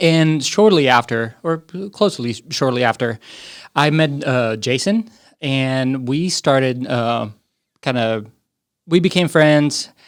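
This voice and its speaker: In a very clean recording with a silent background, a man speaks at a medium pitch and very slow pace, with ordinary pitch variation and long, frequent pauses. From Slovakia. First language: Slovak. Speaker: IT strategy director. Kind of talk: casual interview podcast. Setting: studio.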